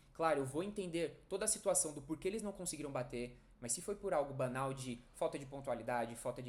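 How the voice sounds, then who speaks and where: Speaking at a very fast pace, a man with a fairly high pitch uses lively intonation and sounds somewhat breathy. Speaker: nursing educator. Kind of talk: online lecture.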